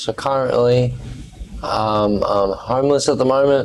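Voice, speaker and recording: The man speaks at a fairly slow pace with a medium pitch. His intonation stays fairly even. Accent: Australian. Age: 20s. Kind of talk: interview answer. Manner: casual, candid.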